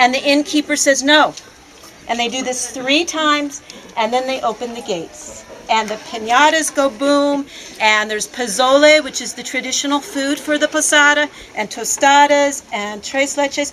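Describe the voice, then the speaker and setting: A loud woman at a high pitch, moderate pace and ordinary pitch variation, with music in the background. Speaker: volunteer. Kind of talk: speech to visitors at an open house.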